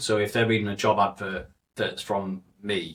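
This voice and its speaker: Speaking with a Mancunian accent, a man has a fairly low voice. His intonation is monotone and flat. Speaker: recruiter, one-person business owner. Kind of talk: casual chat. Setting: studio.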